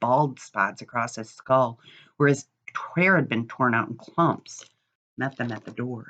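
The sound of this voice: Quiet surroundings behind an unforced reading voice and ordinary pitch variation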